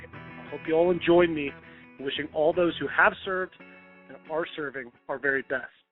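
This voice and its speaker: Music plays in the background as a man talks at a moderate pace and a fairly high pitch, his intonation fairly even but his loudness swinging widely. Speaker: radio show host. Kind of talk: radio show hosting.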